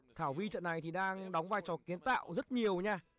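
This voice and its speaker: A man with a high voice speaks in an animated tone with ordinary pitch variation. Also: dry, close sound with no echo. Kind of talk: live sports commentary. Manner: fast, animated play-by-play, calling each shot; casual, chatty, greets viewers warmly.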